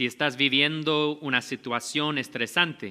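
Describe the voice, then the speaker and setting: A man speaks very slowly in a non-native accent, his fairly high voice bright and sharp with fairly even intonation. The recording is very clean, with a silent background. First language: not Spanish (speaking Spanish). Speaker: pastor. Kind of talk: sermon.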